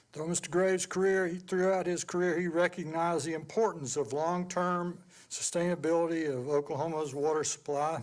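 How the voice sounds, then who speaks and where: In a Southern US accent, a high-pitched man talks at a fairly quick pace with hardly any pauses and fairly even intonation. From US South, Georgia. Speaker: past chairman of a water board, award presenter. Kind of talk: award presentation, partly reading aloud.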